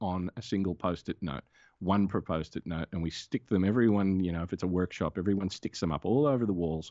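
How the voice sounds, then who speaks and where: Here a man speaks with an Australian accent at a moderate pace. His pitch is very deep and low. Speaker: comics creator and animator. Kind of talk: casual interview.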